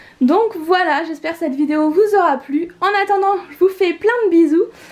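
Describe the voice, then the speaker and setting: With noticeable background noise, a woman talks at a fairly slow pace using ordinary pitch variation. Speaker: YouTuber, expectant mother. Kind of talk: home tour vlog.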